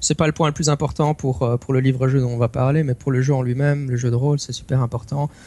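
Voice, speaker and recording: Speaking at a very fast pace with hardly any pauses, a man has a medium pitch and fairly even intonation. His voice is somewhat breathy, with a dark, mellow tone. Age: 30s. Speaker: tabletop role-playing game master and podcaster. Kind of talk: casual chat. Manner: halting, many repetitions.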